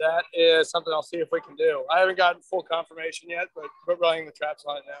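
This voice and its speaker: A man talks very fast in a high, monotone, flat voice, with hardly any pauses and big swings in loudness. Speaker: advisory committee member. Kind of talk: committee meeting discussion.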